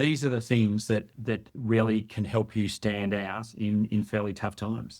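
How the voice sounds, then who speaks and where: A man with a slight Australian accent and a fairly low pitch talks at a fairly slow pace with fairly even intonation and hardly any pauses. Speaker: workforce development expert. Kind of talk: podcast interview.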